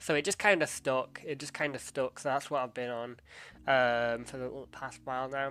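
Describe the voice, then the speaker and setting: A man's bright, sharp voice of medium pitch with an English accent, fairly even intonation and a moderate pace. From England. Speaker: streamer. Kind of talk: casual chat. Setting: live stream. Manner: hesitant, many fillers.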